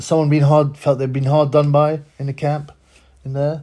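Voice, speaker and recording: Fairly high for a man, the voice is somewhat breathy with a dark, mellow tone, and it moves at a fairly quick pace. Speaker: boxing YouTuber. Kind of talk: casual vlog commentary. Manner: fast; animated.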